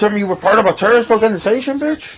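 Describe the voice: A man talks at a very fast pace with a high pitch. His pitch variation is ordinary.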